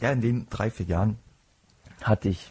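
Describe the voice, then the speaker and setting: This man's voice has a dark, mellow tone, is somewhat breathy, and shows ordinary pitch variation in a dry, close sound with no echo. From Palatinate, Germany. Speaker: podcast host, psychology student. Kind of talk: solo podcast monologue.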